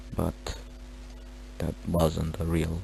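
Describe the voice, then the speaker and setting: Over noticeable background noise, a man speaks with a very deep, low pitch. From Romania. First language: Romanian. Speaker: gaming tutorial creator. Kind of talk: tutorial. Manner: halting.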